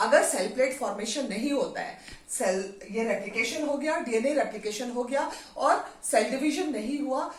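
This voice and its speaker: A woman with a high pitch speaks with lively intonation. Audible room echo and noticeable background noise fill the recording. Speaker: biology teacher. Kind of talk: lecture. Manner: slow.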